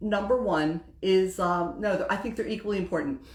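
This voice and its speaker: The clip carries audible room echo. A woman talks at a medium pitch and a moderate pace. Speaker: women's group host. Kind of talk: Facebook live talk. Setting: livestream. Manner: casual.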